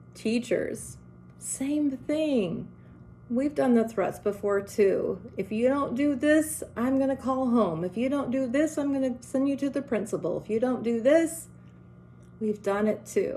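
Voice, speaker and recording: A loud, high-pitched woman's voice at a fairly slow pace. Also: lively intonation. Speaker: educator speaking to parents and teachers. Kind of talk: motivational talk to camera. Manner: direct, emphatic.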